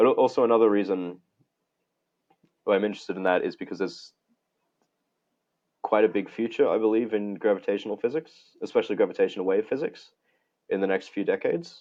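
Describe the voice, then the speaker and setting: A man with an Australian accent talking at a very fast pace, broken by long, frequent pauses. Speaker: physics researcher. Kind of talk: interview conversation. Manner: halting, frequent restarts.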